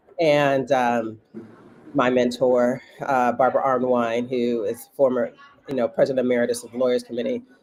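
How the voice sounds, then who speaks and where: Speech at a moderate pace against noticeable background noise. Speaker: voting rights advocate. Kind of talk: interview. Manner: halting.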